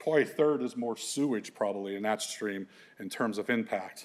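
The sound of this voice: A man with a fairly low pitch speaks at a moderate pace with ordinary pitch variation.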